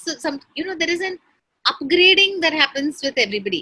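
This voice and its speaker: In a raised, projected voice, a woman talks at a very fast pace with a bright, sharp tone. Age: 60s. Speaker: entrepreneur. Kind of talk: conversational interview.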